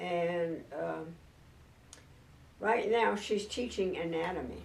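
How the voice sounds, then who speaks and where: Speaking very slowly, a woman uses a fairly low pitch and an American accent. Room echo is audible. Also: ordinary pitch variation. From San Diego, California. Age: 90s. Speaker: clergy widow and church elder. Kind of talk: oral history interview. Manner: hesitant, with fillers.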